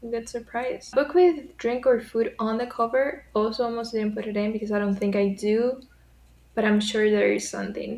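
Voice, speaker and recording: A woman with a Spanish accent talks at a moderate pace and a fairly high pitch, using ordinary pitch variation. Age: 20s. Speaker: writer and book vlogger. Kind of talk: casual vlog chat.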